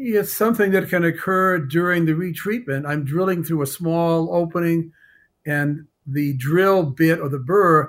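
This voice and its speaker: A man with a normal speaking voice and a fairly high pitch talks at a moderate pace with ordinary pitch variation, in a very clean recording with a silent background. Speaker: dentist specializing in root canals. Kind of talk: courtroom testimony.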